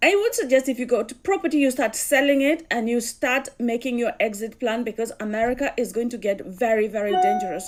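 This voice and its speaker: Over music in the background, a woman with a Kenyan accent talks at a fairly quick pace with hardly any pauses, using a high pitch and lively intonation. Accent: Kikuyu (Kenyan). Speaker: commentator. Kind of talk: casual commentary.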